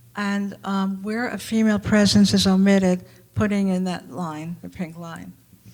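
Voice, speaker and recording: A woman with a normal speaking voice speaks at medium pitch and a moderate pace, her intonation fairly even but her loudness swinging widely. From New York, Brooklyn. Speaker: artist. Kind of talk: panel discussion.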